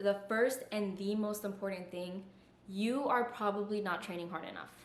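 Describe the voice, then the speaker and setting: The delivery moves at a moderate pace with fairly even intonation. Audible room echo surrounds the voice. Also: woman. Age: 20s. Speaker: fitness YouTuber. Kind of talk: tutorial.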